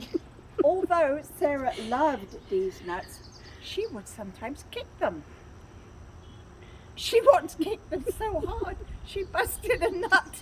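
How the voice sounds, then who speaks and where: With a British accent, a woman speaks very slowly in an extremely high voice, her pitch swinging very widely and her loudness varying a lot, with long, frequent pauses and noticeable background noise. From England. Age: 80s+. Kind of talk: children's book read-aloud.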